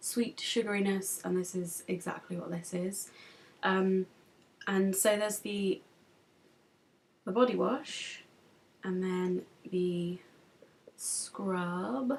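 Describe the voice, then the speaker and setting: A woman speaks in an English accent at a very slow pace. Her speech has long, frequent pauses. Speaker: beauty vlogger. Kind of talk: product review vlog. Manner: casual, hesitant with many ums.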